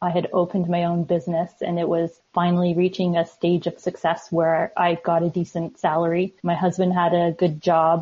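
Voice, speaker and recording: A woman with a Canadian accent, fairly low-pitched and somewhat breathy, in a flat monotone at a moderate pace with hardly any pauses and very even loudness. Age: 40s. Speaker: author. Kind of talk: interview.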